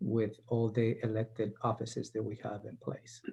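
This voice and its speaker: At a moderate pace, a man talks in a dark, mellow tone that is somewhat breathy. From South America. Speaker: county administrator. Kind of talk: panel introduction.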